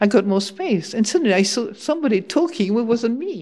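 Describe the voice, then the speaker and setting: A woman with a French accent speaks at a moderate pace, her intonation lively. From France. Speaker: Buddhist nun and teacher. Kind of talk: dharma talk. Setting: monastery hall with audience.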